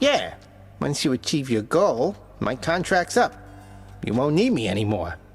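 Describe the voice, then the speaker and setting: With clear music in the background, a man puts on a fairly high-pitched character voice, speaking at a moderate pace with long, frequent pauses. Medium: video game. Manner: casual, slangy.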